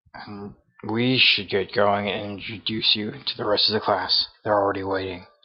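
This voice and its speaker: A man's raspy, put-on character voice, fairly low in pitch, with monotone, flat intonation. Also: moderate pace. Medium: game stream. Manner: brisk, businesslike.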